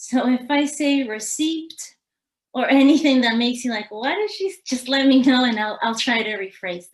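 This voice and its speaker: A woman with a Uruguayan accent speaks at a high pitch and a moderate pace. Her intonation is lively, and her loudness swings widely. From Uruguay, Montevideo. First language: Spanish. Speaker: mindfulness trainer. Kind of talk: webinar presentation.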